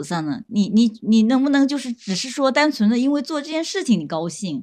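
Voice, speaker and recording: A woman speaks with very wide swings in pitch. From Zhejiang, Huangyan near Taizhou. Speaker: young person living in the countryside. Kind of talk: casual chat.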